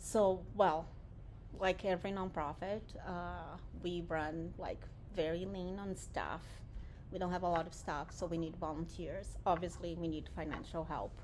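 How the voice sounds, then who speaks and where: A woman with a Portuguese accent, fairly low pitch and vocal fry, monotone, flat intonation at a moderate pace, with audible room echo. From Brazil, Japanese-Brazilian family. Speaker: nonprofit director. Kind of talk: interview. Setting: warehouse.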